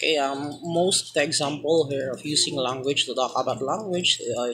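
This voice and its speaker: The speaker has a Filipino accent. Noticeable background noise can be heard. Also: moderate pace. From Philippines. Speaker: student. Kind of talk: class presentation. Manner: halting.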